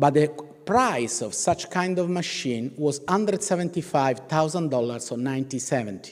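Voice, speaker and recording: With an Italian accent, a man speaks at a moderate pace using lively intonation. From Italy. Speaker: professor of ethics. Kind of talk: keynote lecture. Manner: halting, with fillers and restarts.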